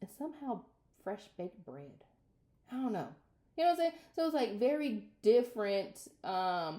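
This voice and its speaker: A loud woman's fairly high voice with a dark, mellow tone, very wide pitch swings, a moderate pace and long, frequent pauses. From US Midwest, Minnesota. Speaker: vlogger. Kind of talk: casual vlog monologue.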